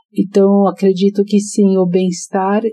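This woman's voice sits at a medium pitch with a dark, mellow tone. It comes across as somewhat breathy. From Brazil, São Paulo. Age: 60s. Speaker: psychologist and author. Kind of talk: interview.

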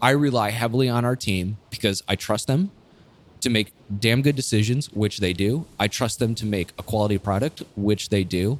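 A man talks at a moderate pace in a fairly low pitch, with ordinary pitch variation and very even loudness, in a normal speaking voice. The recording is very clean with a silent background. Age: 30s. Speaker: brewery owner and Air Force veteran. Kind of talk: casual chat. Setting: in a brewery.

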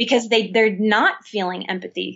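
An unremarkable speaking voice from a woman with an American accent, fairly high in pitch, at a moderate pace. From US South, New Orleans. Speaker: licensed professional counselor. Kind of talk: interview.

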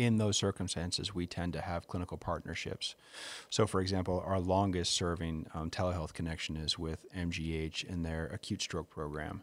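In a very clean recording with a silent background, a man with an American accent and a very deep, low pitch speaks at a moderate pace with fairly even intonation. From North Shore of Massachusetts. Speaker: emergency physician. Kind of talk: interview.

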